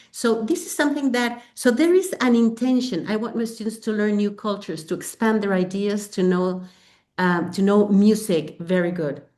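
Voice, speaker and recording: A woman speaks with a Spanish accent at a moderate pace. Her intonation is lively. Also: medium pitch for a woman. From Mexico. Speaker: English teacher and textbook author. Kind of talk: webinar presentation. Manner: animated, frequent fillers.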